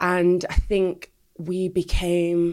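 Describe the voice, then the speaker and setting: A woman speaks with a Mancunian accent and a fairly low pitch. The recording is very clean, with a silent background. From Manchester, England. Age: 30s. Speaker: ex-adult industry performer and anti-exploitation campaigner. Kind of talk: interview testimony.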